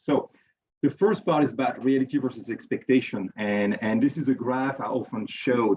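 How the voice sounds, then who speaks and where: Here a man speaks with a strong French accent. His pitch is medium. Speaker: chemical engineer and researcher. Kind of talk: conference presentation. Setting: virtual event. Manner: hesitant, many repetitions; fast.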